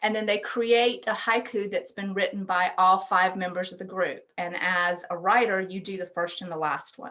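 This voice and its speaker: A woman speaks with a bright, sharp tone at medium pitch. Her intonation stays fairly even. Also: big swings in loudness. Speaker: university education researcher presenting at a conference. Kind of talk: conference presentation over video call.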